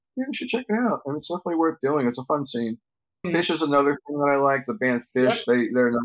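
A man with a New York accent talks at a very fast pace and a fairly high pitch, with ordinary pitch variation. The sound is dry and close, with no echo. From New York City, the Bronx. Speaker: cannabis journalist and former magazine editor. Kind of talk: interview conversation.

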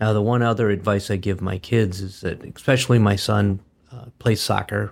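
A somewhat breathy, monotone voice with an Upper Midwest accent, at a moderate pace, on a very clean recording with a silent background. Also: man. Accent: Upper Midwest American. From Wisconsin, Green Bay. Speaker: business founder and trainer. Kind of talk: casual interview.

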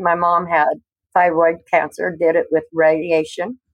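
A woman's fairly low, flat, monotone voice with an American accent. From US Northwest, Washington State. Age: 60s. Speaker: cannabis patient. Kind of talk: interview testimony.

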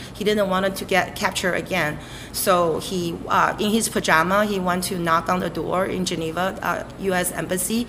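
A woman's voice in a Chinese accent, fairly even in intonation, amid noticeable background noise. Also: medium pitch for a woman, moderate pace. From Beijing, China. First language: Mandarin Chinese. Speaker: chef. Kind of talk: interview.

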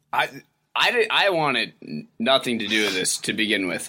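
With an American accent and a bright, sharp tone, a man talks at a moderate pace, his pitch swinging very widely and vocal fry showing through. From eastern Massachusetts (Boxford, outside Boston). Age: 20s. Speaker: litigant in comedic dispute. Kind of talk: casual chat.

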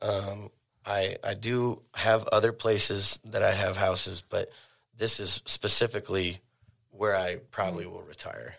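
With an American accent, a man speaks at a moderate pace with big swings in loudness on a very clean recording with a silent background. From Oregon (Eugene). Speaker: cannabis dispensary owner. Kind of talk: casual interview.

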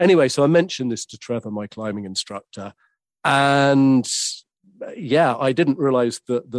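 The sound is dry and close, with no echo. A man with a southern English accent speaks at a moderate pace. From southern England, West Sussex. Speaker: author and audiobook show host. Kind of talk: interview. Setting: remote from London.

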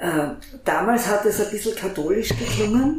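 Both audible room echo and noticeable background noise can be heard here. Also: woman. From Graz, Austria. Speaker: journalist, podcast host. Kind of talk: interview. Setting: back room of a coffee house.

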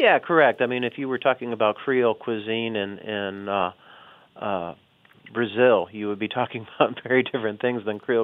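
Using a plain, everyday voice with an American accent, a man talks fairly quickly at medium pitch and with fairly even intonation. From US South, Chicago family. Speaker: history professor and author. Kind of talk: interview.

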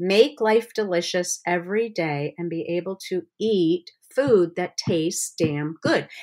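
A woman speaks at a medium pitch with ordinary pitch variation and an ordinary speaking voice. The recording is very clean, with a silent background. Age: 60s. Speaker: cookbook author and former special ed teacher. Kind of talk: casual interview.

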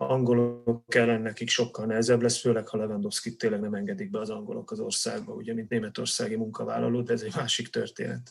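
Words pour out of this man very quickly. Pauses are almost absent. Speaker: football-loving Polish studies expert. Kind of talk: casual chat.

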